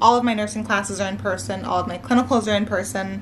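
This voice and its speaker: A Mid-Atlantic accent with audible room echo. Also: woman. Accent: American, Mid-Atlantic. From US, Maryland. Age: 20s. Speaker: nursing student vlogger. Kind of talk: casual chat. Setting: at home, sitting on living room floor. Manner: relaxed.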